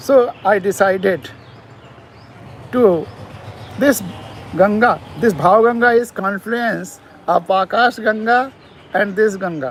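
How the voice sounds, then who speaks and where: A man with a high pitch talks at a very slow pace, leaving long, frequent pauses, with ordinary pitch variation and noticeable background noise. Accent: Indian. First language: Hindi. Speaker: poet. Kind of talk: poetry talk and reading. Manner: halting.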